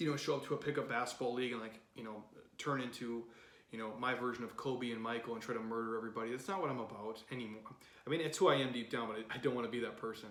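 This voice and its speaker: Over noticeable background noise and audible room echo, a man talks at a very fast pace in a medium pitch. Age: 30s. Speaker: fitness coach. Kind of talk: podcast monologue. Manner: animated.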